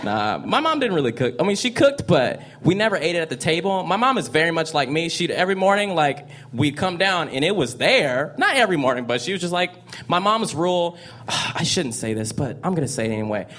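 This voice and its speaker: A man talks very fast in a high voice with very wide swings in pitch, over noticeable background noise. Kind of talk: stand-up-style storytelling and riffing.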